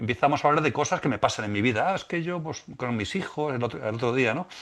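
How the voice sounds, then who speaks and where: This man talks at a very fast pace with lively intonation. The background is quiet. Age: 60s. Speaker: musician and spiritual teacher. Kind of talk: podcast interview. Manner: halting, many repetitions.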